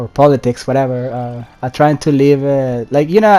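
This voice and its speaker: Music plays in the background while a man with a non-native accent talks at a moderate pace. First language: not English. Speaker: gaming YouTuber. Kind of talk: casual vlog commentary. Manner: halting, many fillers and restarts.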